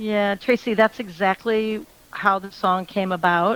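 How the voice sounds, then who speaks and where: A woman speaks in a normal speaking voice at medium pitch and a fairly slow pace. The sound is dry and close, with no echo. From US Midwest, Michigan. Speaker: country singer. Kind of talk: radio interview.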